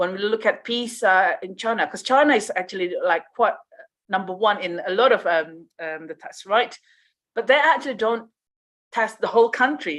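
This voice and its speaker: With a Malaysian accent, the speaker talks at a moderate pace using lively intonation and big swings in loudness. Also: woman, fairly high pitch for a woman. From Riau, Indonesia. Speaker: conference speaker. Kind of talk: conference Q&A answer. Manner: hesitant, many fillers.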